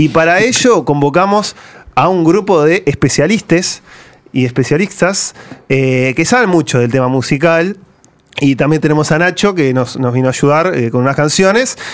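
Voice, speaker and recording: Using a plain, everyday voice, a man with a fairly high pitch speaks at a moderate pace with lively intonation and very even loudness. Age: 20s. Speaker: radio host. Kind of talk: casual radio panel chat. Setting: radio studio, recorded live.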